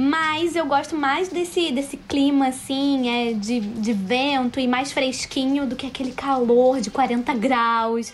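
The pitch varies in an ordinary way against noticeable background noise. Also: woman. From Brazil, Rio de Janeiro. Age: 20s. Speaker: university student. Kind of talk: interview. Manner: hesitant, many fillers.

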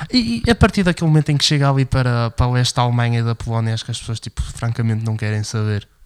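A man talks at a very fast pace and medium pitch. His pitch varies in an ordinary way. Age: 20s. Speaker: political commentary podcast co-host. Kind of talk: casual political discussion.

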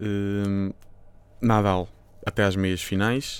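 Speaking in a European Portuguese accent, a man uses a fairly low pitch and monotone, flat intonation on a very clean recording with a silent background. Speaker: tennis podcast co-host. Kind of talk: casual chat.

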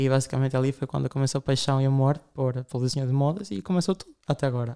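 A man talks at a very fast pace in a dark, mellow tone, fairly high in pitch. The sound is dry and close with no echo, in a very clean recording with a silent background. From Latin America. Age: 20s. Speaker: fashion designer. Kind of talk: interview.

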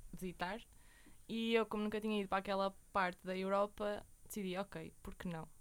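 A woman uses a normal speaking voice at medium pitch. She keeps a moderate pace. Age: 20s. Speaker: university student. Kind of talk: interview.

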